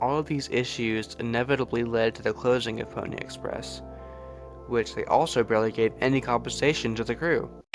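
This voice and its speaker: Background music plays throughout. Over it, a man talks fairly quickly. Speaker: video essayist. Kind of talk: video essay voice-over.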